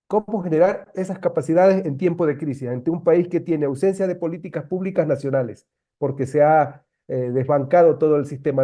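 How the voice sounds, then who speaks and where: A man with a fairly high pitch talks in an ordinary speaking voice at a fairly quick pace, with ordinary pitch variation. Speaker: meeting participant. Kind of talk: online meeting discussion.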